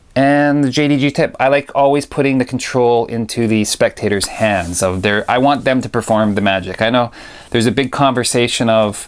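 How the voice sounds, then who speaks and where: Talking at a fairly quick pace, this man has an unremarkable speaking voice, a medium pitch and ordinary pitch variation. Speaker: magic review show host. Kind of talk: casual video review.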